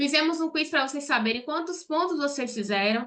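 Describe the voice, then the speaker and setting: A woman at a high pitch and moderate pace, with ordinary pitch variation. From Brazil, Salvador, Bahia. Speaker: accountant and online course teacher. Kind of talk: online live class. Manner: direct, conversational.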